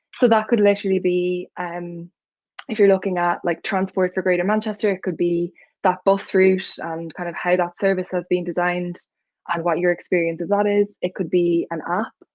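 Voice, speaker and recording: The voice has an Irish accent and a moderate pace. Its intonation is monotone and flat. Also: woman, medium pitch for a woman. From Ireland. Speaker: UX researcher. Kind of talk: talk with slides. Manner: many filler ums.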